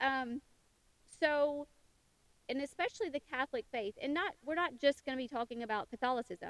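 A Southern US accent with long, frequent pauses, in a dry, close sound with no echo. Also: woman, high pitch for a woman, ordinary pitch variation, moderate pace. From US South, western Tennessee. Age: 50s. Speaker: podcast host. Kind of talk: casual monologue.

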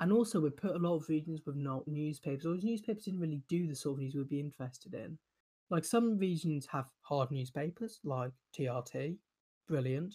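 A man with a British accent talks at a fairly quick pace in a fairly high pitch. His tone is dark and mellow, with ordinary pitch variation. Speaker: podcast host. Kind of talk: Q&A session answering listener questions. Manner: casual, filler-heavy with frequent ums.

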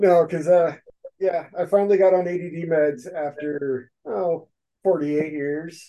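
A man with an American accent and a high pitch in a dark, mellow tone, at a very slow pace with ordinary pitch variation. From US Pacific Northwest. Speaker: podcast host. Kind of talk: casual chat.

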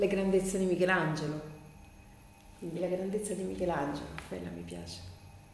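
A woman speaks at a moderate pace with long, frequent pauses and big swings in loudness, over noticeable background noise and audible room echo. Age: 50s. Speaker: pattern maker and biodanza teacher. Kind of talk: interview.

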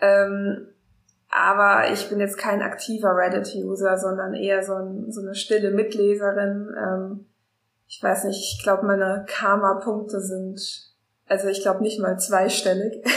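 In a room with audible echo, a woman talks at a fairly slow pace with a medium pitch and monotone, flat intonation. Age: 20s. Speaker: freelance journalist. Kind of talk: casual chat.

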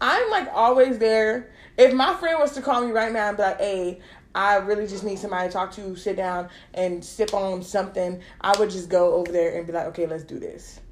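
In an ordinary speaking voice, a woman talks fairly quickly at a medium pitch, with ordinary pitch variation and big swings in loudness. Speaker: podcast host. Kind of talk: casual chat.

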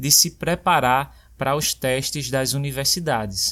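In a very clean recording with a silent background, a man with a plain, everyday voice speaks at a moderate pace and a fairly high pitch. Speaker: podcast host and language teacher. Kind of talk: scripted personal narration. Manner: clear and measured for learners.

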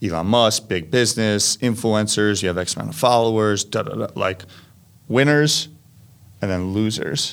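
In a normal speaking voice, a man with a fairly low pitch and ordinary pitch variation speaks at a moderate pace on a very clean recording with a silent background. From New Jersey, Montclair. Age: 30s. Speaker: media company manager. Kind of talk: casual interview chat.

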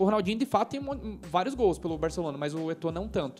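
Noticeable background noise sits behind the speaker. A man talks very fast in a high voice. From Brazil. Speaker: football podcast host. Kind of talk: casual chat. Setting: home recording near woods.

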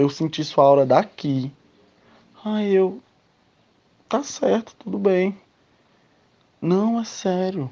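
With lively intonation and a dark, mellow tone, a man speaks at a high pitch and a very slow pace, leaving long, frequent pauses. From Ceará, Brazil. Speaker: listener. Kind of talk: testimony.

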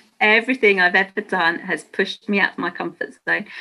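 This woman talks at a medium pitch. Her tone is bright and sharp. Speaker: mind body transformation coach. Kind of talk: interview.

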